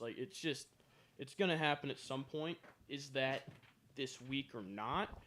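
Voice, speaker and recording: Delivered in a normal speaking voice, the speech moves at a moderate pace with ordinary pitch variation. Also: man. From Canada. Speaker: podcast co-host. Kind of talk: casual chat. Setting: studio.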